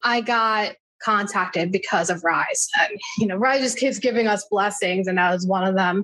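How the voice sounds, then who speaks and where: This woman has a normal speaking voice with an American accent and a medium pitch. She keeps a moderate pace, fairly even intonation and very even loudness. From US Northeast, New Jersey Shore. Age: 30s. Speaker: civil rights activist and nonprofit founder. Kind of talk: interview.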